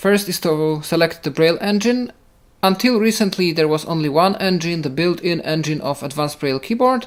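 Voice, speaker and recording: Someone speaks in a Polish accent. The pace is fairly quick. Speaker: assistive technology podcast presenter. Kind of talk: tutorial.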